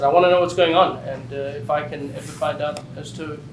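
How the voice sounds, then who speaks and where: A man speaks fairly quickly in a fairly high voice with fairly even intonation. The recording has audible room echo and noticeable background noise. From South Africa. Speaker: state legislator. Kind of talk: panel introduction at a public listening session.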